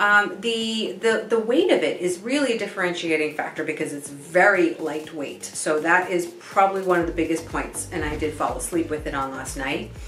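With hardly any pauses, a woman speaks at a moderate pace in a fairly low pitch. Audible room echo and light background noise surround her voice. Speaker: guest. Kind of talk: product review talk. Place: home room.

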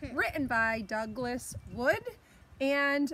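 Over noticeable background noise, a woman speaks in a high pitch with ordinary pitch variation, and the sound is dry with no echo. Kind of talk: children's story read-aloud. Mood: warm, playful. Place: garden. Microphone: phone near.

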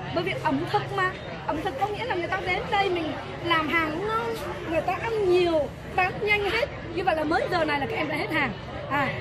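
A woman's voice over background crowd noise. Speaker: teacher judging camps. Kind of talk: interview questions. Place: street.

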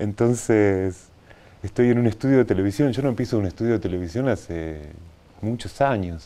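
Fairly low in pitch, a man talks at a moderate pace with ordinary pitch variation and a dark, mellow tone. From Buenos Aires, Argentina; Argentina. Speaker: animation filmmaker; TV interview guest. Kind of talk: interview. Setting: TV studio. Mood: relaxed, reflective. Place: studio.

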